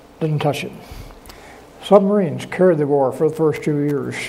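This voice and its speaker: Noticeable background noise sits behind a man whose fairly high voice has ordinary pitch variation. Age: 80s+. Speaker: war veteran. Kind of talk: lecture presentation.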